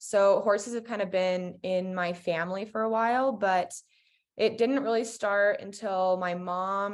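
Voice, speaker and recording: An ordinary speaking voice from a woman at a medium pitch, with fairly even intonation and a quiet background. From US West, Colorado. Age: 20s. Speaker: equestrian champion. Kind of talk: casual chat.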